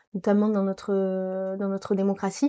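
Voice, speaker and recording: A woman's voice at medium pitch, dark and mellow in tone, on a very clean recording with a silent background. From southern France, Nîmes. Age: 20s. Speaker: law graduate and community volunteer. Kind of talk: interview. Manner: hesitant, many fillers.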